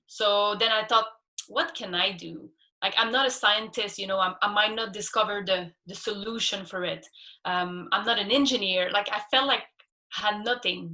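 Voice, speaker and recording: A woman with a Quebec accent speaks at a moderate pace and medium pitch in a bright, sharp tone. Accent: French Canadian accent in English. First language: French. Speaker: scuba instructor and ocean activist. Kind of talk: interview.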